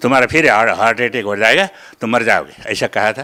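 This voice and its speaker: Medium-pitched male voice with a bright, sharp tone and ordinary pitch variation. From Nepal. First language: Nepali (speaking Hindi). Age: 70s. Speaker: devotee giving testimony. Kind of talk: interview testimony. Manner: halting.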